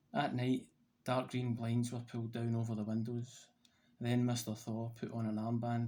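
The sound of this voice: The voice reads in an unforced way.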